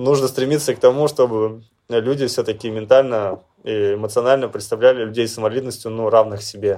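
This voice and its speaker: Fairly quick speech from a man, medium in pitch. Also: fairly even intonation. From Russia, Chelyabinsk region. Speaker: Paralympic cyclist. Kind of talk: interview. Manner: hesitant.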